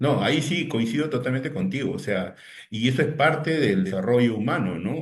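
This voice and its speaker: A man's somewhat breathy voice, fairly quick, with ordinary pitch variation and audible room echo. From Peru, Lima. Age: 60s. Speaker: digital teacher, technology consultant. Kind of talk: interview. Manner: hesitant repetitions.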